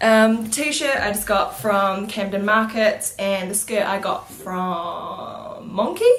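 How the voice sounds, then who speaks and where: With a New Zealand accent, a woman speaks at a very slow pace amid audible room echo. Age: 20s. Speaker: beauty vlogger. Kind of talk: casual vlog Q&A. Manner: hesitant, many fillers.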